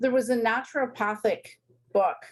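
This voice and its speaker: Her voice is somewhat breathy. The woman talks at a fairly slow pace. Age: 70s. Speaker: retired sales rep, online reseller. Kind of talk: interview.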